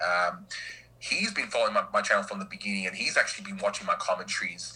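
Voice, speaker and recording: At a very fast pace, a man talks in an Australian accent. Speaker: YouTuber and stay-at-home dad. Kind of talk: casual chat.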